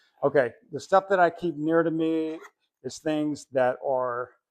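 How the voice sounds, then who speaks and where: A man's fairly high-pitched, ordinary speaking voice with fairly even intonation. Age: 60s. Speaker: retired airline worker and finance vlogger. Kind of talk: casual vlog tutorial. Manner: conversational with fillers.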